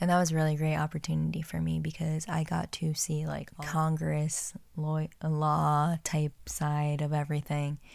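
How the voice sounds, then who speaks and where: With an American accent, a woman speaks at a moderate pace in a very deep, low pitch and a monotone, flat intonation, on a very clean recording with a silent background. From New Jersey. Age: 20s. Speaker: podcast host. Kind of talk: casual chat.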